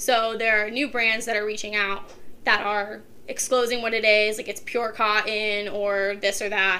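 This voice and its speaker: With an American accent, a woman speaks at a moderate pace in a fairly high, bright, sharp voice with monotone, flat intonation. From Ohio, Kent area. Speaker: college student. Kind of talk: casual chat.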